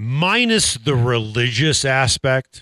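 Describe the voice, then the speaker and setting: A man at a medium pitch has a bright, sharp tone, heard in a dry, close recording with no echo. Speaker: radio host. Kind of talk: casual sports radio talk. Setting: studio.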